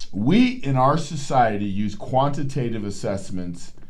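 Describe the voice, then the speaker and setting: Audible room echo surrounds this recording. A man talks with lively intonation at a medium pitch. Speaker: psychologist and podcast host. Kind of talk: educational talk. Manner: animated.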